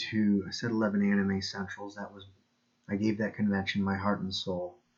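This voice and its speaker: A man's fairly low, monotone voice with big swings in loudness. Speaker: video creator, anime convention volunteer. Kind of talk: personal monologue video. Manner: monotonous, mechanical; halting, many fillers and repeats.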